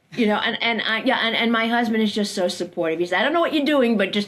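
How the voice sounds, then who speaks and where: Amid noticeable background noise, a woman in an American accent speaks very fast with lively intonation at a medium pitch. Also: hardly any pauses, very even loudness. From US Northeast, Brooklyn, New York. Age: 70s. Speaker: occupational therapist. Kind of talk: interview conversation. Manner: halting, many fillers.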